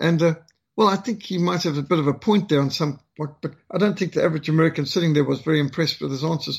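A man with a high-pitched voice. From Rhodesia/South Africa. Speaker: missionary and author. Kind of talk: interview/presentation on politics and religion.

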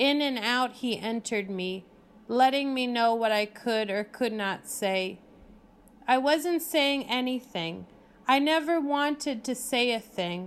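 Her pitch is high for a woman, with ordinary variation, and she talks at a fairly slow pace. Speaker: poet reading her own work. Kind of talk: poetry reading, performed poem. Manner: hushed, deliberate, dreamy and incantatory.

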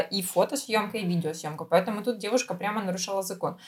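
A somewhat breathy woman's voice at a fairly quick pace with ordinary pitch variation. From Ukraine. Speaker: podcast co-host. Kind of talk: casual chat.

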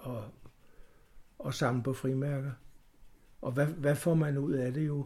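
At a very slow pace, a man with a fairly high pitch speaks in a somewhat breathy voice with ordinary pitch variation. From Copenhagen, Denmark. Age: 70s. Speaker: stamp collector, club chairman. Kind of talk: interview. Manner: halting.

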